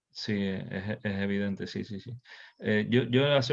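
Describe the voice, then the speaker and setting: A man talks with a Canarian accent. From Canary Islands, Tenerife. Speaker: session moderator. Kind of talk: virtual workshop discussion. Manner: halting, many repetitions.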